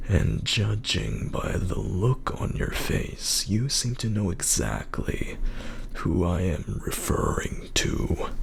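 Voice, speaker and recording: Whispering in a put-on character voice, a man speaks at a very slow pace over clear background noise. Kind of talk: mystic fortune teller. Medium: read story. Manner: measured, solemn.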